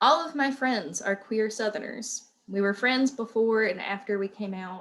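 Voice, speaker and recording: A woman with an Appalachian accent, fairly high-pitched, at a moderate pace with ordinary pitch variation. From southwestern Virginia, Appalachia. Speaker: writer and educator. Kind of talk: reading aloud.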